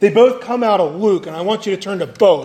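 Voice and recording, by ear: A natural voice reading aloud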